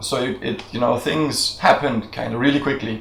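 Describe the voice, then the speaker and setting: A man's voice sits at a medium pitch. Noticeable noise runs behind him. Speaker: video blogger. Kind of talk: casual chat.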